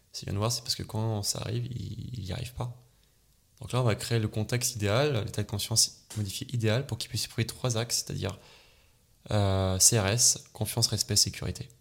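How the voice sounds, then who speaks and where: A somewhat breathy man at a moderate pace, fairly even intonation, very clean recording, silent background. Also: medium pitch for a man. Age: 20s. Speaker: hypnotherapist. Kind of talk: casual interview.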